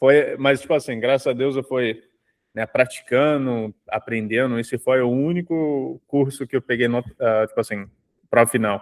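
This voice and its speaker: A man speaks at medium pitch with ordinary pitch variation. His pace is moderate. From Canada. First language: English (speaking Portuguese). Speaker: dentist. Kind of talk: casual chat.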